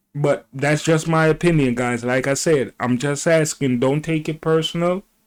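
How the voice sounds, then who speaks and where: On a very clean recording with a silent background, a man with a fairly high pitch speaks at a moderate pace with fairly even intonation in a plain, everyday voice. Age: 60s. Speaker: video commentator. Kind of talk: opinion commentary reacting to clips.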